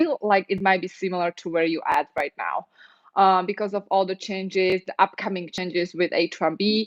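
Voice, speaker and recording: A woman with a non-native accent speaks at a moderate pace, her voice dry and close with no echo over a quiet background. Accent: foreign. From Europe. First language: non-English European language. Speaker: immigration lawyer. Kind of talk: live stream Q&A and advice talk. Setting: live stream. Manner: conversational, with fillers.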